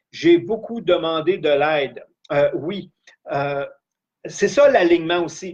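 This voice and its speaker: A man speaks in a high voice at a very slow pace. His pitch varies in an ordinary way, and he leaves long, frequent pauses. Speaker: life coach / trainer. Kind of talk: live-streamed training session.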